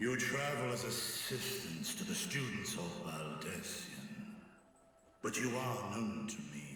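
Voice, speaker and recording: A man's put-on character voice at medium pitch, fairly slow, with very wide pitch swings and strong echo. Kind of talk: archaic speech. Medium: video game. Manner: solemn, formal.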